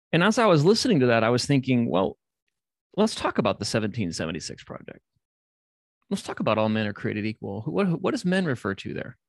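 A man with an American accent talks at a very fast pace, with a medium pitch and very wide pitch swings. His voice has vocal fry, and the background is quiet. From Indianapolis, Indiana (US Midwest). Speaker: pastor. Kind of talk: interview conversation.

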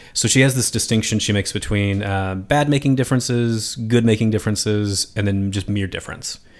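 In a plain, everyday voice with an American accent, a man speaks at a fairly low pitch and a fairly quick pace, with hardly any pauses and fairly even intonation, on a very clean recording with a silent background. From Philadelphia, US. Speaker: podcast host and philosophy lecturer. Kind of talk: interview. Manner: casual, filler-heavy.

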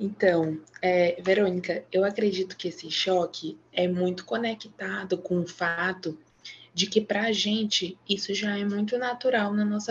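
A somewhat breathy woman's voice at medium pitch, fairly slow, with fairly even intonation. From Maranhão, Brazil. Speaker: psychologist. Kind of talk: casual chat.

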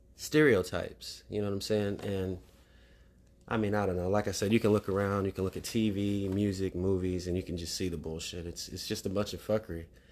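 A man speaks at a fairly quick pace in an unremarkable speaking voice, his pitch fairly low and his intonation fairly even. The recording is very clean, with a silent background. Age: 40s. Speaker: podcast host. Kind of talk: solo spiritual monologue. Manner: casual, filler-heavy speech.

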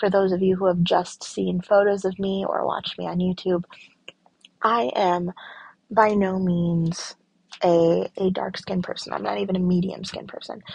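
A woman speaks in a Michigan accent at a medium pitch. Her voice is somewhat breathy, with monotone, flat intonation. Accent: US Midwest (Michigan). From rural Michigan, US. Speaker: podcast host. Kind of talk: solo monologue podcast. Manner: deliberately slow.

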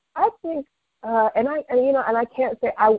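With an animated tone, a woman talks at a fairly quick pace, her pitch swinging very widely. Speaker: podcast co-host. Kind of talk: casual chat.

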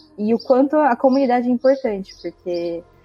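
A woman's dark, mellow tone at a moderate pace. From interior of São Paulo state, Brazil. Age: 20s. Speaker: biologist, community member guest. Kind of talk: casual group conversation.

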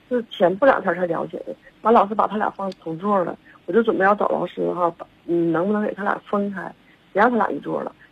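Her voice carries some breathiness. The woman talks very fast. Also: medium pitch for a woman, ordinary pitch variation. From Shenyang, northeast China. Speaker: caller, mother. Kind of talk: phone-in account of a problem. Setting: phone call. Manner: halting, many fillers. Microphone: too quiet.

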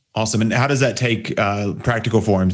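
With audible room echo, a man in an American accent talks fairly quickly with fairly even intonation. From Texas. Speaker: podcast host, online business coach. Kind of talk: interview podcast chat.

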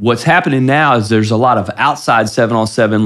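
With an American accent, a man delivers his words at a very fast pace, medium in pitch and with ordinary pitch variation. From US Midwest, Ohio (Columbus area). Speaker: high school football coach. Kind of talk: interview conversation. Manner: halting, frequent repetitions.

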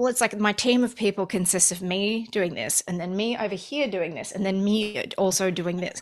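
A woman with an Australian accent speaks at a moderate pace, with hardly any pauses. Her pitch is medium with ordinary variation. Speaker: musician. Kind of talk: casual chat.

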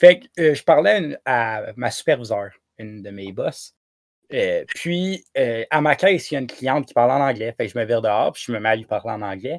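Over a dry, close sound with no echo, a man speaks in a plain, everyday voice at a moderate pace, with lively intonation and big swings in loudness. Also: medium pitch for a man. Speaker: podcast co-host. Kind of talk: casual chat.

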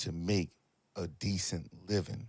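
Recorded very cleanly against a silent background, a man speaks. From Philadelphia, US. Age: 40s. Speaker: finance podcaster and entrepreneur. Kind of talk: casual chat.

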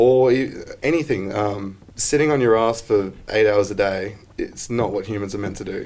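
In an Australian accent, a man speaks with fairly even intonation. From Queensland, Australia. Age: 20s. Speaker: boilermaker and business owner. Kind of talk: casual chat.

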